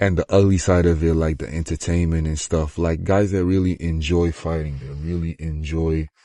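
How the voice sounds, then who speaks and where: A man's very deep, low voice, dark and mellow in tone, with a non-native accent, at a moderate pace in a dry, close sound with no echo against a quiet background. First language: not English (English is third language). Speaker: fighter and combat sports commentator. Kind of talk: casual vlog monologue. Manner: rambling, halting.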